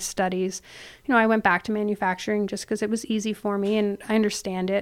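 In a very clean recording with a silent background, a woman with a Canadian accent speaks at a medium pitch with fairly even intonation in a normal speaking voice. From Canada, Ontario (near Toronto). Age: 30s. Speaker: business owner. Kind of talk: casual chat.

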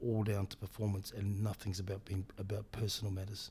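A man with a New Zealand accent, a dark, mellow, somewhat breathy tone, fairly low pitch and moderate pace, on a very clean recording with a silent background. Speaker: rugby director of rugby. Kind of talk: interview. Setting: in person.

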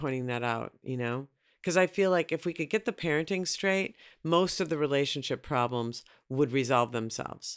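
Against a very clean recording with a silent background, a speaker with an American accent uses lively intonation. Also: woman. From Minneapolis, US Midwest. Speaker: author and relationship expert. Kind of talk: casual interview.

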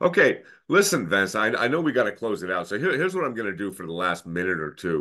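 Over a quiet background, a man with a fairly low pitch and a bright, sharp tone talks at a very fast pace with very wide pitch swings. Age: 50s. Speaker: podcast host. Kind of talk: interview conversation.

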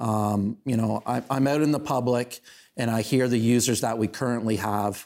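At a moderate pace and medium pitch, a man speaks with fairly even intonation and very even loudness on a very clean recording with a silent background. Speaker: town councillor and local show host. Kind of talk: casual interview chat. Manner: loud, opinionated.

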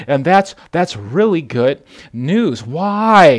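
Very slow speech with very wide pitch swings comes through on a very clean recording with a silent background. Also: man. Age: 30s. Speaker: pastor. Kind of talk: sermon. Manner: animated.

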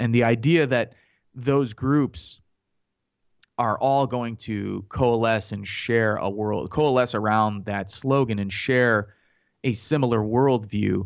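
A man talks in a normal speaking voice at a fairly low pitch and a fairly slow pace. His pitch variation is ordinary, and the background is quiet. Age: 30s. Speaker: radio host and Iraq war veteran. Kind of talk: radio talk show monologue.

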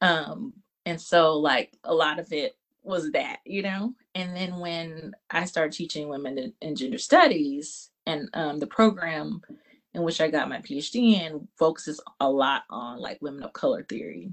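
Talking fairly slowly in an unremarkable speaking voice, a woman keeps a fairly low pitch with lively intonation and big swings in loudness. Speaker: art professor and artist. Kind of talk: interview. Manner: casual, reflective.

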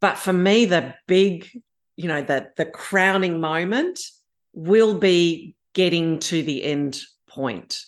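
With an Australian accent, a woman speaks at a very slow pace, with ordinary pitch variation. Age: 50s. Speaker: aspiring pilgrim. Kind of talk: casual chat.

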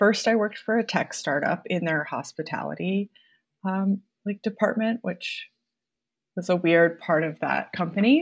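Speaking with a Midwestern American accent, a woman shows ordinary pitch variation against a quiet background. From Iowa, Mason City. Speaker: balloon decor business owner. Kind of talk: interview.

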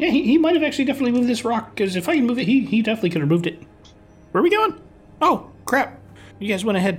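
A man's put-on character voice, extremely high and very fast, with very wide pitch swings and faint music in the background. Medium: actual play.

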